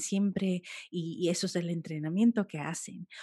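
A woman speaks in a calm, dark, mellow tone, somewhat breathy. Her intonation stays fairly even against a quiet background. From United States, Colombian-Caribbean family. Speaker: food photographer. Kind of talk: interview.

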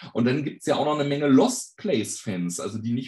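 Speaking very fast, a man uses a medium-pitched, somewhat breathy voice. His intonation is lively. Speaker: fan website operator and tour guide. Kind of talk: podcast interview.

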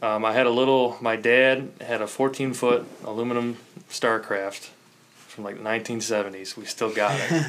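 In an ordinary speaking voice with an American accent, a man speaks at a medium pitch and a fairly slow pace. His intonation stays fairly even. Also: big swings in loudness. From Chicago south side suburbs, Illinois. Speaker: angler. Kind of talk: casual chat.

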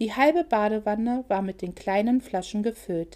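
A natural reading voice with pitch that varies in an ordinary way

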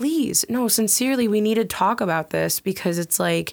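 On a very clean recording with a silent background, a woman uses a normal speaking voice with ordinary pitch variation. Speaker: podcast host. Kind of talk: casual chat. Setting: podcast recording.

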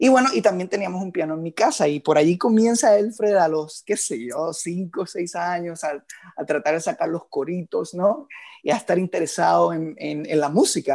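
The man's voice sits high in pitch. It carries lively intonation. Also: moderate pace, quiet background. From Puerto Rico, Moca. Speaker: musician and composer. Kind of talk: interview conversation.

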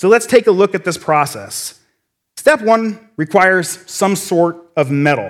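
On a very clean recording with a silent background, a man with an American accent and a high pitch speaks in an animated tone with lively intonation. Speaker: church lay speaker. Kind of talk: sermon. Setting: stage with audience. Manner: fast.

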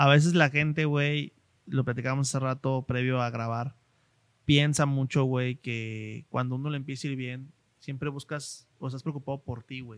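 Man with a Mexican accent, medium pitch, moderate pace and monotone, flat intonation, on a very clean recording with a silent background. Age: 30s. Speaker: podcast host, marketing consultant. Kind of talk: casual interview chat.

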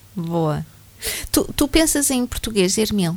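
A woman at a medium pitch and a fairly slow pace. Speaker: radio host. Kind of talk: radio interview.

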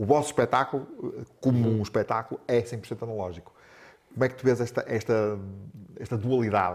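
A man with a medium pitch speaks at a fairly quick pace with fairly even intonation. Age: 50s. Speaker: podcast host. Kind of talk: casual interview. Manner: halting, many repetitions.

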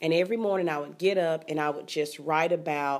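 A woman speaks with a Southern US accent. Her pitch is fairly low and her intonation fairly even. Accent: Southern US (Georgia). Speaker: teacher and author. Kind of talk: interview. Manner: eloquent.

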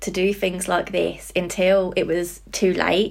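A woman with a British accent speaks at a very slow pace. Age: 20s. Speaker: psychology graduate and support worker. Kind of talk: casual interview chat.

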